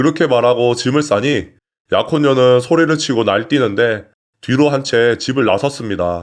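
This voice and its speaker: A normal speaking voice comes at a moderate pace with ordinary pitch variation and very even loudness over a quiet background. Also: man, medium pitch for a man. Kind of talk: story narration read aloud (reading of a submitted personal story).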